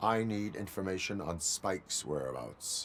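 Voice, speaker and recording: Someone uses a put-on character voice at a moderate pace, with clear background noise. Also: man, very deep, low pitch for a man. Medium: video game. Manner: flat, clipped, formal.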